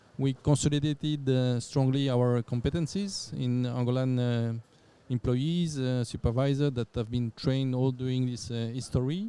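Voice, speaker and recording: With a French accent, a man speaks at medium pitch in a dark, mellow tone and fairly even intonation. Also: moderate pace. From France. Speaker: company general manager. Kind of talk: podcast interview. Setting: conference venue. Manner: halting, many fillers and repetitions.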